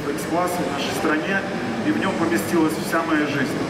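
Loud background noise surrounds the man as he talks at a moderate pace. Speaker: guest. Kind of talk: speech to audience. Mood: grateful, warm. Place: hall.

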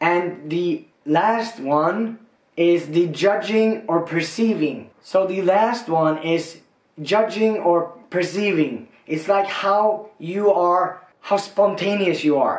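With audible room echo, a man speaks very slowly in a high voice. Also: ordinary pitch variation, quiet background. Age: 30s. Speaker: YouTuber. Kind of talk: casual explainer video. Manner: animated.

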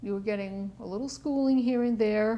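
This woman has a fairly high voice. Her tone is dark and mellow. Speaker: oral history interviewer. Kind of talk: interview questions.

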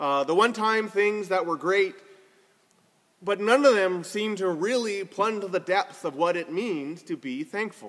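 Over a quiet background, a man talks at a moderate pace. His intonation is lively. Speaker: preacher. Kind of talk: sermon. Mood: warm, lightly humorous. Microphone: phone near.

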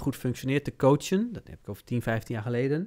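With a quiet background behind him, a man speaks very fast in a fairly high voice. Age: 40s. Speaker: business consultant; podcast host, coach. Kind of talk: casual chat. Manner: halting. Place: studio. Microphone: studio mic.

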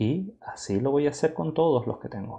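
A man speaks with a dark, mellow tone and vocal fry. The background is quiet. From Spain. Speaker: filmmaker and photographer; workshop instructor. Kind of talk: tutorial. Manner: halting. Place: home room.

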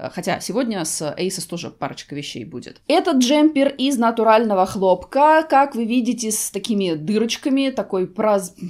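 A woman with a fairly high pitch speaks at a moderate pace with hardly any pauses, against a quiet background. Her pitch swings very widely and her loudness swings a lot. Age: 40s. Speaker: fashion and beauty vlogger; beauty vlogger. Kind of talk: try-on haul video. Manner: conversational. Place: home room.

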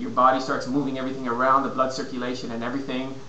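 A man's voice comes with audible room echo and light noise in the background. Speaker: fitness and nutrition consultant. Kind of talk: casual vlog advice. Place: home room. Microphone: webcam.

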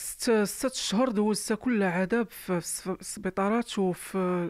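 Pitched high, a man's voice keeps a fairly even intonation, dry with no echo against a quiet background. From Morocco. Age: 30s. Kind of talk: testimony. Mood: sad, weary. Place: home room. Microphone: handheld.

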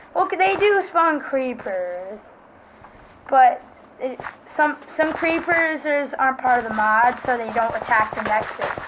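A woman with a high pitch speaks at a very slow pace, her pitch swinging very widely. Long, frequent pauses break up her speech, and there is noticeable background noise. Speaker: Minecraft gamer YouTuber. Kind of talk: casual gameplay commentary. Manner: halting, filler-heavy.

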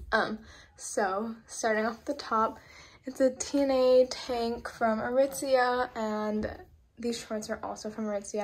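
A woman talks, and her pitch rises and falls the usual amount. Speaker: vlogger. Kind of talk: casual vlog chat. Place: home room. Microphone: phone near.

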